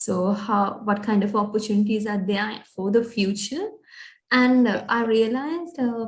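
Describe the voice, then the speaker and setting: Somewhat breathy, a woman speaks at a fairly high pitch. Her pace is moderate and her pitch variation ordinary. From Sri Lanka. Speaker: recent graduate, aspiring business analyst. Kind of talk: interview. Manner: halting, many fillers.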